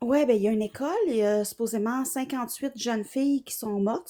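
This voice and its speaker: A soft-spoken woman's fairly high voice with a Quebec accent, dark and mellow in tone, very fast with hardly any pauses and ordinary pitch variation. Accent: Québécois French. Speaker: psychotherapist. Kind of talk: casual chat.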